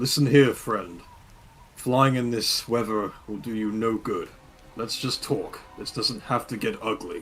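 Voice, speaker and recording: In a put-on character voice, a man booms at a medium pitch. He keeps a fairly slow pace. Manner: calm but threatening.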